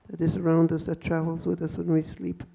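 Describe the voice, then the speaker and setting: Her voice is fairly low in pitch, dark and mellow in tone, with monotone, flat intonation. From First Nations community, Canada. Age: 70s. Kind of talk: panel talk. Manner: halting, with repeated words.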